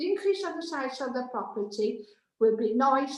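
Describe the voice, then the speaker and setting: The speaker has a Welsh accent and a moderate pace. The intonation is lively. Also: woman. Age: 70s. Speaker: objecting neighbour, public speaker. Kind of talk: public objection statement at planning committee. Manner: reading prepared statement.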